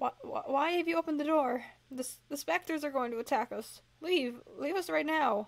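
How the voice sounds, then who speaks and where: A woman puts on a squeaky character voice with a high pitch and a panicked tone, speaking at a moderate pace. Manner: panicked, urgent.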